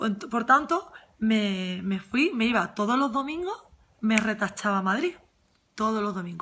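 Lively intonation and a bright, sharp tone come at a fairly slow pace over light background noise. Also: woman, fairly high pitch for a woman. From Andalusia, Huelva; Andalusia. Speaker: former course student. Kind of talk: testimonial. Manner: halting. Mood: warm, enthusiastic. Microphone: phone near.

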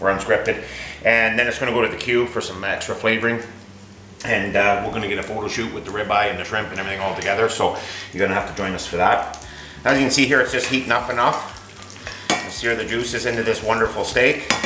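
Over light background noise and audible room echo, a man talks at a very fast pace with fairly even intonation. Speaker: home cooking show host. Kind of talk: cooking tutorial chat. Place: kitchen. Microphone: camera far.

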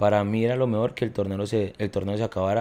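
A man with a plain, everyday voice, fairly low in pitch, at a fairly quick pace. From Colombia, Quindío (Armenia); Quindío, Colombia. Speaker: professional footballer; podcast guest. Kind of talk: casual chat. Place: home room. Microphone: studio mic.

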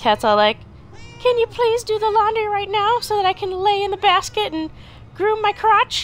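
Against clear background noise, a woman uses a put-on character voice at an extremely high pitch. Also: moderate pace. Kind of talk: casual gameplay commentary. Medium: role play.

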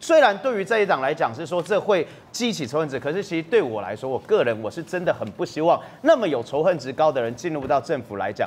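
A man speaks at a very fast pace with a fairly high pitch. His voice has vocal fry and swings very widely in pitch. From Taiwan. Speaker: legislator; guest. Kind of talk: TV political talk show panel. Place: studio.

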